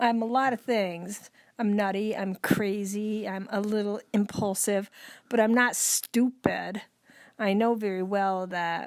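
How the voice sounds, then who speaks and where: On a very clean recording with a silent background, an ordinary speaking voice proceeds fairly slowly with fairly even intonation. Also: woman. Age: 60s. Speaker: podcast co-host with Alzheimer's. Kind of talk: casual chat.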